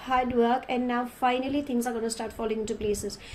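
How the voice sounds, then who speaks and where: Through noticeable background noise, a woman with a high pitch speaks at a fairly quick pace. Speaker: tarot card reader. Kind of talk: tarot reading. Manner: warm and affectionate.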